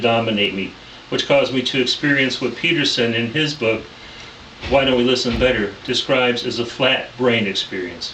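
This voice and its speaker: Noticeable background noise and audible room echo accompany a man of medium pitch who talks at a fairly quick pace with ordinary pitch variation. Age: 60s. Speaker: pastor and counseling student. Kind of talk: class presentation. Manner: formal.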